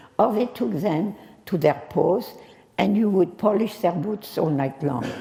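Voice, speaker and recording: A woman with a French accent talks at a fairly slow pace with very wide pitch swings. Noticeable background noise is present. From France. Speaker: war witness. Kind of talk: speech to an audience.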